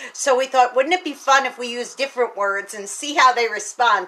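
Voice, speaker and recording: With an animated tone, a woman's voice is raised and projected. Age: 60s. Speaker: teacher and speaker. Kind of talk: casual video monologue.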